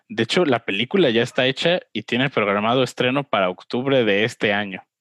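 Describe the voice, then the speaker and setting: A man speaks in a plain, everyday voice at a moderate pace, with medium pitch and ordinary pitch variation. The sound is dry and close, with no echo. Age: 20s. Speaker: film podcast co-host. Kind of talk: casual chat. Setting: video call.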